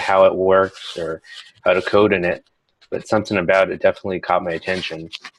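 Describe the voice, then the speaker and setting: A man's very deep, low pitch, monotone and flat, at a fairly quick pace. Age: 20s. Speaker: online computer science student. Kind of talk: self-introduction in online class orientation. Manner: hesitant, many fillers.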